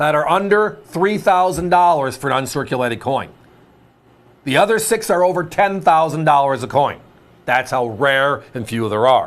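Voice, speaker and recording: A man speaks in an unremarkable speaking voice, at a fairly high pitch. His pace is moderate and his intonation lively. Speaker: home shopping host. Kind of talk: sales pitch.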